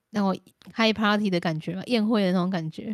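In a very clean recording with a silent background, a woman with a Taiwanese accent speaks at a medium pitch in an animated tone. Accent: Taiwanese Mandarin. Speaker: podcast co-host. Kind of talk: casual chat. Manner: animated, laughing often.

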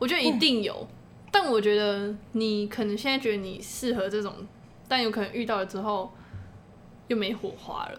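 A woman mumbles at a moderate pace with fairly high pitch and fairly even intonation, leaving long, frequent pauses, and audible room echo can be heard. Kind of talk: casual chat. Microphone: too close to the mic.

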